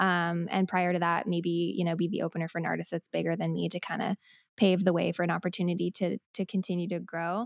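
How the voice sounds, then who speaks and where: With an American accent and a normal speaking voice, a woman talks at a fairly quick pace and medium pitch in a very clean recording with a silent background and a dry, close sound with no echo. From Colorado. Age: 20s. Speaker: singer-songwriter. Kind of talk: casual chat.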